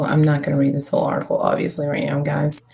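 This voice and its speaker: A woman mumbles. Her pitch is very deep and low. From Kentucky. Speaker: live streamer and home health worker. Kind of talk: casual live stream chat. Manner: mumbling.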